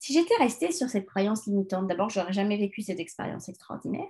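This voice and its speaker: A woman speaks in a somewhat breathy voice. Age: 40s. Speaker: life coach and podcast host. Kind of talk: solo self-help podcast monologue. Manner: hesitant, many fillers.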